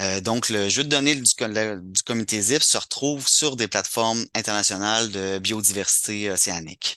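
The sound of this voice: At a moderate pace, a man speaks with a fairly low pitch, ordinary pitch variation and a bright, sharp tone.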